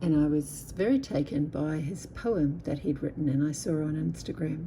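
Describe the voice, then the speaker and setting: Very slow and somewhat breathy, a woman speaks with a dark, mellow tone at a very deep, low pitch. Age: 50s. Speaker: artist. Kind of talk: poetry reading.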